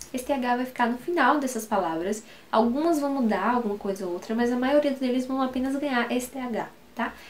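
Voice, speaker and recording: With a Brazilian accent, a woman speaks fairly quickly in a high pitch with ordinary pitch variation over noticeable background noise. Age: 20s. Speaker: English teacher. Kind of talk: tutorial.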